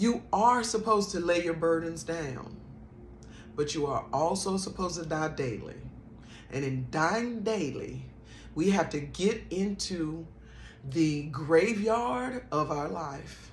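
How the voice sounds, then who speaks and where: Very slow pace and lively intonation, with audible room echo. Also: woman, fairly low pitch for a woman. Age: 50s. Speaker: spiritual vlogger. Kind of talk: personal testimony and spiritual encouragement.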